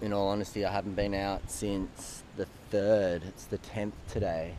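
A man with a low pitch and a dark, mellow tone speaks at a moderate pace with little pitch movement.

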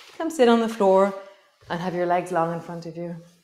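Audible room echo colors this woman's voice. Her pitch varies in an ordinary way. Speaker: yoga teacher. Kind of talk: guided yoga class, live-stream, calm cueing of poses and breath. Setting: live-stream video. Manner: calm, soothing, unhurried, warm, instructive; chatty, with light laughs and reflective asides. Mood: calm, warm. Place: home room.

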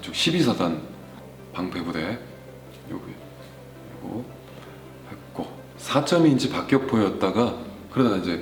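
Over music in the background, the speech goes at a very slow pace, with very wide pitch swings, big swings in loudness, and long, frequent pauses. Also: man. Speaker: voice actor; army veteran. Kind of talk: interview answer.

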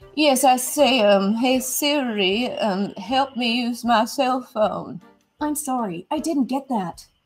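Faint music plays in the background as a woman with a high pitch speaks at a very slow pace with ordinary pitch variation. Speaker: caller. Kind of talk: comedic phone conversation. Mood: exasperated, apologetic. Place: home room.

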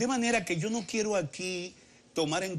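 Light background noise runs through the clip. The speaker is a man. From Dominican Republic. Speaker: politician. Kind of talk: political interview. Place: studio. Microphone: lapel.

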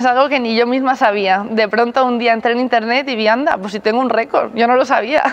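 A woman talks at a fairly quick pace with hardly any pauses. Her pitch is high and her intonation fairly even. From Spain. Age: 20s. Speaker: rhythmic gymnast, team captain. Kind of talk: interview answers. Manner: laughing, cheerful. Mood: relaxed, smiling. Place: gym. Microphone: lapel.

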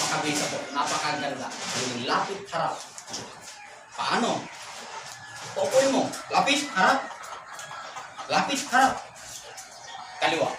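With music in the background and audible room echo, the voice moves at a fairly slow pace through very wide pitch swings and long, frequent pauses. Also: man, high pitch for a man. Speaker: dog trainer. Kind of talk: tutorial. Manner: commands to dog.

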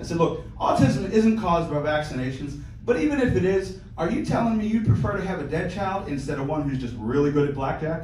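A man speaks at a fairly quick pace with a fairly high pitch. Light background noise and audible room echo are present. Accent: American. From Pittsburgh, US. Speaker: stand-up comedian. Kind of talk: crude, self-deprecating stand-up set of rapid one-liners and dark punchlines. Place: stage.

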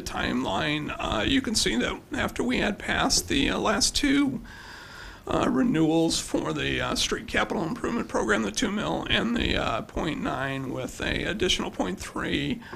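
A man at a moderate pace, over light background noise. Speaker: presenter. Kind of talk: presentation to council. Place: hall.

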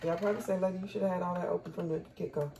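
A woman, with light background noise. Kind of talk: casual cooking tutorial. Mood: relaxed, upbeat. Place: kitchen. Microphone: camera far.

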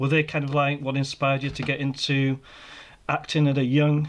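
Fairly high in pitch and monotone in intonation, a man speaks at a fairly quick pace with a Yorkshire accent. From Yorkshire, northern England. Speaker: podcast host. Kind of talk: casual interview. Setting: video call.

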